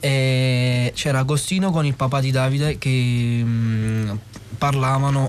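Fairly even intonation at a medium pitch from a male speaker, noticeable background noise behind him. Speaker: non-professional film actor. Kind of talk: interview storytelling. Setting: radio studio. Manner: halting.

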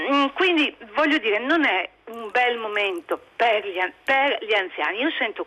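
A woman with a high pitch, very wide pitch swings and a fairly slow pace. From Friuli, Pordenone area. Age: 60s. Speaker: caller. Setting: phone call.

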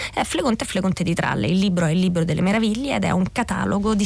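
A woman's medium-pitched voice with ordinary pitch variation, set against noticeable background noise. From southern Lazio, Italy (Scauri, Gulf of Gaeta). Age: 40s. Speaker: novelist. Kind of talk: radio interview. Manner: halting, frequent repetitions.

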